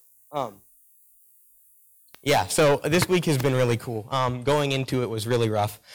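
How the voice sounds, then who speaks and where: A man talks at a moderate pace, with ordinary pitch variation. His speech has long, frequent pauses. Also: medium pitch for a man. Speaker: youth camp attendee giving testimony. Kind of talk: testimony. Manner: loud; animated.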